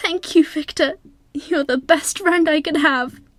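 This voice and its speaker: A put-on character voice, female-sounding and pitched extremely high, moves at a fairly slow pace over faint background music. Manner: meek, quavering.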